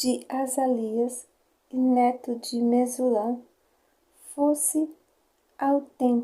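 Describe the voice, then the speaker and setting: A soft-spoken woman, high in pitch yet dark and mellow in tone, monotone and very slow, with long, frequent pauses. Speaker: ASMR creator. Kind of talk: ASMR bible story reading. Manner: whispering.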